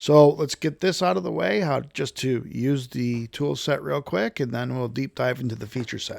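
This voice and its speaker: Recorded dry and close with no echo, a man with a normal speaking voice talks at a moderate pace and medium pitch, with ordinary pitch variation and hardly any pauses. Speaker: software tool developer demonstrating product. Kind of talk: tutorial.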